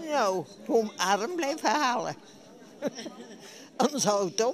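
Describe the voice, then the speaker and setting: Over crowd noise in the background, a woman speaks very slowly at a fairly high pitch, swinging very widely up and down. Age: 80s+. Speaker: bridge player. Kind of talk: interview answer. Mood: cheerful, pleased. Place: hall. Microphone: handheld.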